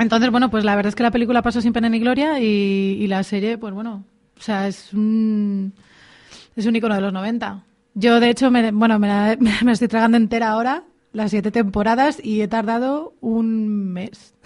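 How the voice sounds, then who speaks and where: A woman with a plain, everyday voice speaks at a moderate pace and fairly high pitch. Her intonation is fairly even, over a quiet background. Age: 30s. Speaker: radio contributor on TV series. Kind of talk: casual radio chat.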